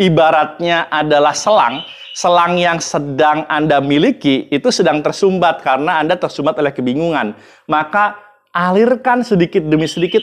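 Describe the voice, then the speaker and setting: A man's shrill voice at a fairly high pitch. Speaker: public speaking coach. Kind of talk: educational talk to camera.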